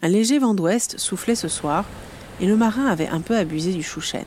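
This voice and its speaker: A woman speaks in a gentle tone. Noticeable background noise runs behind her. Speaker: podcast host and illustrator. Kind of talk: bedtime story telling, fairy-tale narration; scripted podcast intro. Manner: soft, gentle, storyteller pacing.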